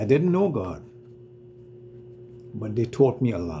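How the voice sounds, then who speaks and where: A man's voice moves in very wide pitch swings. Noticeable background noise and audible room echo are present. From Trinidad. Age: 70s. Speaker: retired business owner telling his life story. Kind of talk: personal testimony. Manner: soft-spoken.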